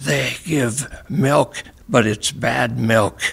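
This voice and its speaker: A man whispers in a put-on character voice. It comes out raspy. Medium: read story. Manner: cryptic, non sequiturs; whispering.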